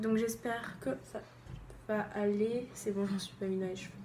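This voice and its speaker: Amid audible room echo, a woman at medium pitch talks at a fairly slow pace with long, frequent pauses. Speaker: beauty YouTuber. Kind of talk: makeup tutorial. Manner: animated.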